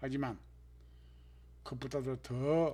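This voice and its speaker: The man's voice is somewhat breathy, with ordinary pitch variation. His pace is very slow. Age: 70s. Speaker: health vlogger, stroke survivor. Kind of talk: scripted narration.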